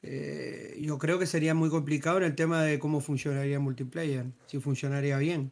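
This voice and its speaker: Fairly high for a man, his voice holds monotone, flat intonation at a moderate pace. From Uruguay. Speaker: gaming group member. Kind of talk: casual group discussion.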